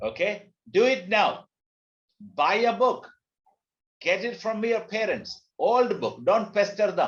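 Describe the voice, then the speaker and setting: A man's high-pitched voice in a Keralan accent, very slow with long, frequent pauses and fairly even intonation, amid audible room echo. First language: Malayalam. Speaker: teacher, language trainer. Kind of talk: lecture. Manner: code-switching between English, Hindi and Telugu.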